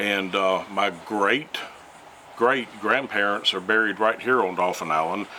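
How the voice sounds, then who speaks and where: With an Alabama accent, a man talks at a moderate pace in a fairly low pitch and fairly even intonation, with noticeable background noise behind him. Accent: Southern US (Alabama). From US South, Mobile, Alabama. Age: 60s. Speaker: retired environmental scientist. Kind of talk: interview. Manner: hesitant, many fillers.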